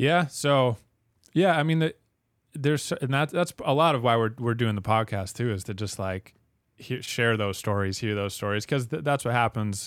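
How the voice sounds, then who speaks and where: In a very clean recording with a silent background, a man speaks in a plain, everyday voice with lively intonation. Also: medium pitch for a man, moderate pace. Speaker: podcast host. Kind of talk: interview.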